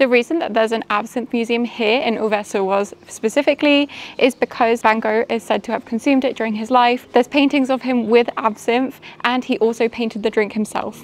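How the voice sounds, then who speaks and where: A woman speaking at a fairly quick pace with fairly even intonation, noticeable background noise behind her. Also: fairly high pitch for a woman. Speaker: travel vlogger. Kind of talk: travel video narration.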